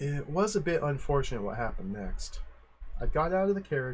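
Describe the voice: Reading aloud, plainly done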